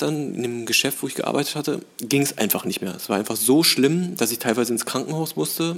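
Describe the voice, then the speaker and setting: Using a plain, everyday voice, a man at medium pitch talks at a fairly quick pace with ordinary pitch variation and hardly any pauses. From Berlin (Charlottenburg), moved from Tehran at five. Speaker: actor and film director. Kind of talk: casual interview chat.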